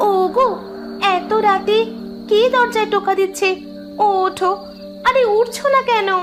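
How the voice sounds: A woman performs a cartoonish character voice at an extremely high pitch and a fairly slow pace, with clear music in the background.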